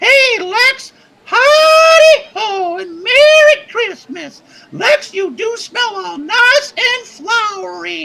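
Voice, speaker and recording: A put-on character voice shouts at an extremely high pitch and a very slow pace. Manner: cheerful, festive.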